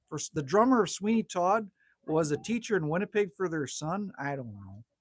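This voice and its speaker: A man with a Canadian accent and a high voice talks at a fairly quick pace, with lively intonation and big swings in loudness. The recording is very clean with a silent background, dry and close with no echo. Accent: Canadian accent, like North Dakota. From Manitoba, Canada. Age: 50s. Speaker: livestreamer. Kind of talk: casual chat. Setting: livestream at a cabin. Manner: animated.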